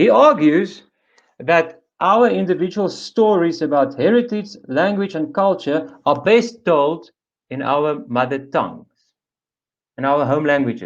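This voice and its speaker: Against a quiet background, a man with a South African accent speaks fairly slowly in a high voice, his intonation lively. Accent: Afrikaans South African. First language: Afrikaans. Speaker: panelist for an Afrikaans language association. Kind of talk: webinar presentation.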